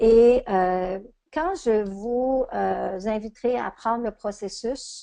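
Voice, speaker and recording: A woman speaks very slowly in a Quebec accent, her tone dark and mellow. Her pitch is fairly high, with ordinary variation. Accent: Québécois French. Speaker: coach and trainer. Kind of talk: webinar lecture. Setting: online webinar.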